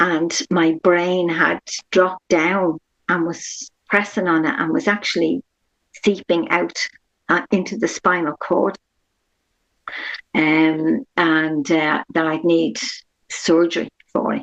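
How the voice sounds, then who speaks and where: With an Irish accent, a woman speaks very slowly in a fairly low pitch with ordinary pitch variation and long, frequent pauses, in a dry, close sound with no echo. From Ireland, Dublin. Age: 60s. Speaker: patient sharing her experience. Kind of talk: interview testimony.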